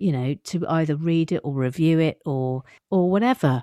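Over a quiet background, a woman with an English accent speaks at a fairly slow pace in a dark, mellow tone, the sound dry and close with no echo. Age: 50s. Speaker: writer and comedian. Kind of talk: casual chat.

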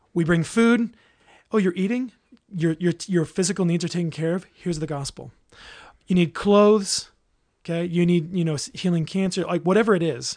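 A man with an American accent speaks at a fairly quick pace in a high pitch with ordinary pitch variation. His speech has long, frequent pauses. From Southern California. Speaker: marriage ministry leader. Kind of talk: casual interview chat.

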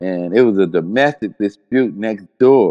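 Speaking in a plain, everyday voice with an American accent, a man with a fairly low pitch and ordinary pitch variation is recorded with a dry, close sound, no echo and a quiet background. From Cincinnati, Ohio. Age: 60s. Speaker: death row exoneree and abolition activist. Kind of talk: interview testimony. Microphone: audio issues, connection dropouts.

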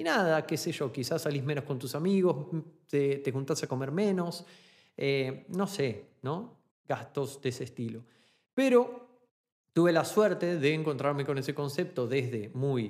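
In a Rioplatense accent, a man talks at a fairly slow pace with lively intonation. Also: fairly high pitch for a man. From Argentina. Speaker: podcast host, online business coach. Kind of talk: solo podcast monologue.

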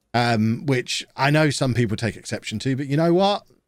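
Recorded very cleanly against a silent background, a man uses an ordinary speaking voice at medium pitch, moderate pace and ordinary pitch variation. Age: 40s. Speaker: football video game content creator. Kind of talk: casual interview chat.

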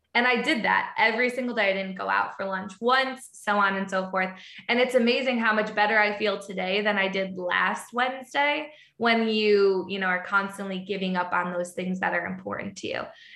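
Bright, sharp in tone and fairly quick, the voice shows ordinary pitch variation amid audible room echo. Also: woman, medium pitch for a woman. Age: 20s. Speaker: sales leader. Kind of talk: casual interview. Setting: remote call.

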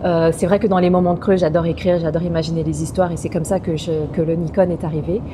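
Over noticeable background noise, a woman with a fairly low voice talks at a very fast pace in a monotone, flat way, with hardly any pauses. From France, Paris suburbs. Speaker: actress. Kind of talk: casual interview. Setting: restaurant.

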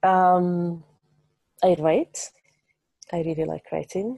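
A woman with an Arabic accent speaks at a fairly low pitch in a dark, mellow tone, the sound dry and close with no echo. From Egypt. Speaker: translator. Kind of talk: interview. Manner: halting, many fillers.

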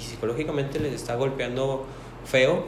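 A man speaks at a moderate pace and a fairly high pitch. Audible room echo and noticeable background noise surround his voice. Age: 20s. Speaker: paramedic. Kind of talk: casual interview.

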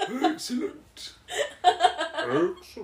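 Extremely high in pitch, the voice is a put-on character voice.

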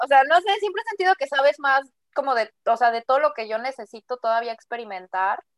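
In a dry, close recording with no echo, a woman talks fairly quickly in a high voice with very wide pitch swings. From Mexico City. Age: 20s. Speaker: podcast co-host. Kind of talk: casual chat.

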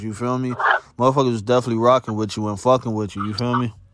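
A man with an American accent speaks at a very fast pace and medium pitch. Noticeable background noise is present. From Chicago area, US. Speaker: podcast host. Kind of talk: casual interview. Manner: animated.

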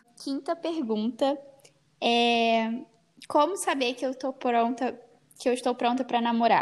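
Pausing long and often, a woman speaks at a fairly slow pace with a high pitch and ordinary pitch variation. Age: young. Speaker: podcast host on fashion, beauty and faith. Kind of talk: casual chat.

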